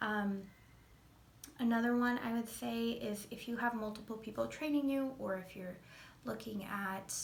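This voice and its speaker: Over noticeable background noise, a woman talks at a moderate pace and a fairly high pitch. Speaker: veterinary technician assistant. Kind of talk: casual talk to camera.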